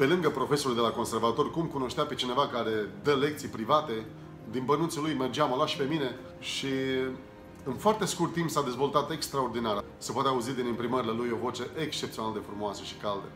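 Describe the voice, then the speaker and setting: Clear music plays in the background. A man speaks at a fairly quick pace with ordinary pitch variation. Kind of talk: interview answer, personal memories. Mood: warm, nostalgic. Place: home room.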